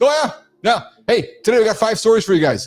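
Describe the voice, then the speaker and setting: Over music in the background, a man talks at a fairly quick pace in an animated tone. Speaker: live show host. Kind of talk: live show banter.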